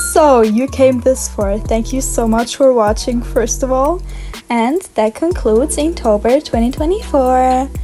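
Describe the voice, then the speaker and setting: Music plays behind a woman with a strong German accent whose high voice shows ordinary pitch variation at a fairly slow pace. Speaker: art YouTuber. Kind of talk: casual narration over drawing process. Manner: casual, rambling; halting, self-correcting.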